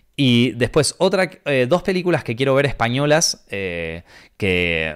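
An animated man's voice on a very clean recording with a silent background. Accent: Rioplatense. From Argentina. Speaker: podcast host, film critic. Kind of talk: casual chat. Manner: quieter than usual.

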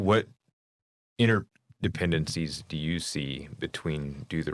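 A man's very deep, low voice with vocal fry, lively intonation and a fairly slow pace. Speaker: podcast host and company employee. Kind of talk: casual interview.

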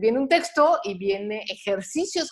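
This woman's pitch swings very widely. Her pace is fairly slow. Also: quiet background. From Mexico. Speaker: personal finance advisor and podcaster. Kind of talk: casual interview conversation.

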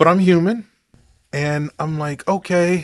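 An unremarkable speaking voice moves at a fairly slow pace. Its pitch variation is ordinary. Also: man. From Oklahoma. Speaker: podcast host. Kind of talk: commentary monologue.

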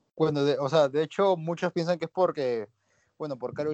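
A very fast delivery from a man with a fairly high pitch. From Peru. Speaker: singer. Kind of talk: interview. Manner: halting.

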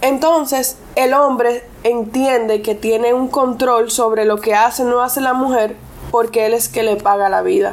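Amid noticeable background noise, a woman speaks at a moderate pace and a fairly high pitch with ordinary pitch variation. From Puerto Plata, Dominican Republic, Argentine family. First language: English (speaking Spanish). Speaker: lawyer. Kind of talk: casual interview.

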